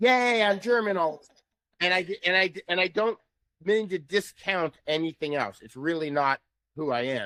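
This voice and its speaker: With an American accent, a man speaks in a high, bright, sharp voice, his tone animated and his intonation lively, leaving long, frequent pauses in a dry, close recording with no echo. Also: moderate pace. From New York City. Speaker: voice-analysis tech founder. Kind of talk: podcast interview.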